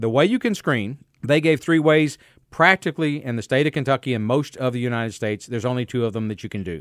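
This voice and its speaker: A man speaks at a medium pitch with ordinary pitch variation, in a very clean recording with a silent background and a dry, close sound with no echo. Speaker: physician and radio health host. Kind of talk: casual, humorous health talk radio. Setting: radio studio. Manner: witty, joking.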